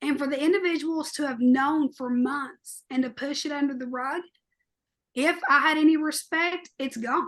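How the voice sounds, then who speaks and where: A loud woman's voice, high in pitch, with fairly even intonation and a moderate pace. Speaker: podcast co-host. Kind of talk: podcast discussion. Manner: loud, outspoken.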